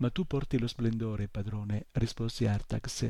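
Lively intonation from a natural reading voice

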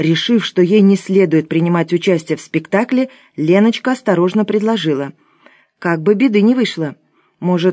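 In a natural reading voice with ordinary pitch variation, the speaker comes through against a quiet background.

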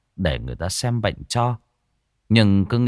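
With a quiet background, the voice does plain reading aloud, its pitch varying in an ordinary way.

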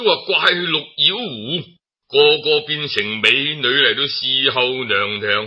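A man's medium-pitched voice at a slow pace

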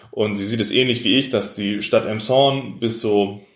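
A man with a normal speaking voice, fairly even intonation and a moderate pace. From northern Germany, Hamburg area. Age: 30s. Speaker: mayoral candidate, local politician. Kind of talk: interview.

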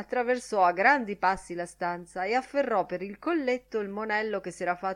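The voice is reading aloud in a natural voice, with ordinary pitch variation.

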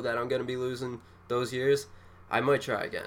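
A man speaks at a fairly quick pace in a plain, everyday voice with a medium pitch. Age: 20s. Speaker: podcast co-host. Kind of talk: casual chat.

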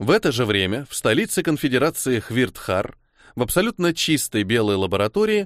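The reading is done in a natural reading voice.

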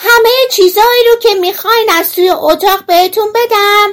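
A put-on character voice shouts loudly. The pitch is extremely high. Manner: shouting.

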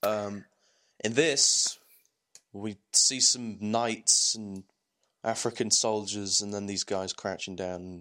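Speaking very slowly with long, frequent pauses, a man with an English accent keeps a fairly low pitch and fairly even intonation on a very clean recording with a silent background. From England. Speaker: gaming podcast host. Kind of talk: casual chat.

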